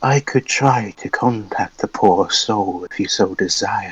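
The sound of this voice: Soft-spoken and at a fairly slow pace, a man does a put-on character voice at a medium pitch.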